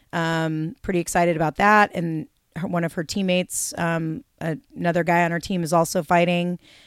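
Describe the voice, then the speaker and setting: Spoken at a moderate pace with an American accent, the voice comes through a very clean recording with a silent background and a dry, close sound with no echo. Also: woman, fairly low pitch for a woman. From US Pacific Northwest, Seattle. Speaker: boxing coach and retired champion boxer. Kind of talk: casual interview.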